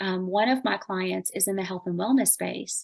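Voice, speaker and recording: A woman talks in a Southern US accent at medium pitch. Her pitch variation is ordinary, and the background is quiet. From US South. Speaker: marketing expert. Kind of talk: podcast interview. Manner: fast; casual.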